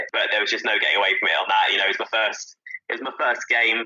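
A man with a southern English accent speaks at a very fast pace. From Southampton, southern England. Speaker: stadium PA announcer and radio journalist. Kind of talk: casual chat.

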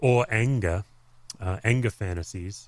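Heard in a very clean recording with a silent background, a man with an Australian accent speaks at medium pitch with lively intonation. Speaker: pastor and author. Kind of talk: interview conversation.

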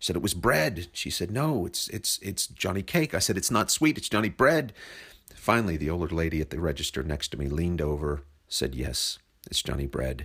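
On a very clean recording with a silent background, a man with a very deep, low pitch and vocal fry talks at a fairly quick pace with lively intonation. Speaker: podcast host. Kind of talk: scripted narration. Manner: wordy, self-deprecating.

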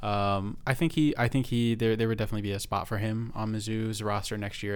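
A man speaks in a normal speaking voice with a fairly low pitch. He talks at a fairly quick pace with fairly even intonation. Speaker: podcast host. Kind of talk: casual chat. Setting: studio.

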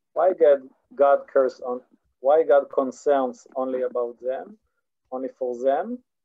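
A man speaks with an Israeli accent at a fairly slow pace. His pitch is fairly high. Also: fairly even intonation. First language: Hebrew. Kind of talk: online lecture. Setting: video call. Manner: halting, many repetitions and fillers.

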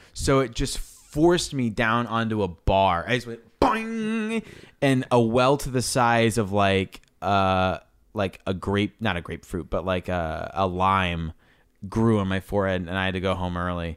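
A man with an unremarkable speaking voice, fairly low in pitch, at a fairly slow pace, on a very clean recording with a silent background. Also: ordinary pitch variation. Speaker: podcast host. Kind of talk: reading aloud; casual chat.

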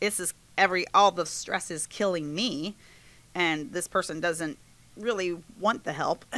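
Speaking at a fairly slow pace with long, frequent pauses, a woman with an American accent has a bright, sharp tone at a fairly low pitch, with ordinary pitch variation. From West Virginia. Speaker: preschool teacher. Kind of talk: interview. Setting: studio.

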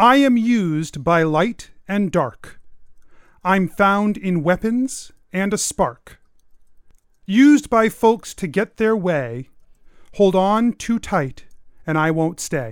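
A loud, booming, female-sounding put-on character voice of medium pitch unfolds at a very slow pace with long, frequent pauses. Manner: commanding, theatrical.

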